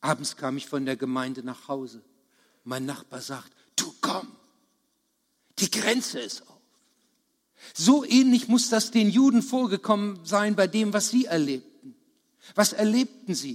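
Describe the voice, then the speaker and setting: The speech moves at a fairly slow pace, with very wide pitch swings, big swings in loudness and long, frequent pauses. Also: man, high pitch for a man. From Lower Saxony, Germany (Harz region). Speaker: preacher. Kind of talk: sermon.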